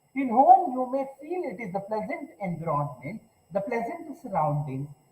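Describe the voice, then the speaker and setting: Against noticeable background noise, a man speaks at a moderate pace in an extremely high pitch. His pitch swings very widely, and his loudness shifts a great deal. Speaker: university lecturer. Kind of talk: online lecture. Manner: louder than usual; halting with fillers.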